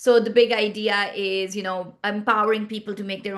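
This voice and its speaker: A woman with a Pashto accent talks at a moderate pace in a fairly high pitch with ordinary pitch variation. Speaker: startup founder and CEO. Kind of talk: podcast interview.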